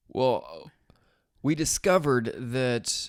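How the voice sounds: A man's voice with lively intonation on a very clean recording against a silent background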